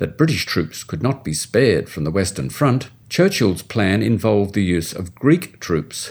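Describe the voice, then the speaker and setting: A man with an Australian accent talks at a moderate pace in a very deep, low pitch with very wide pitch swings, on a very clean recording with a silent background. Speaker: history professor. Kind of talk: scripted narration. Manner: formal.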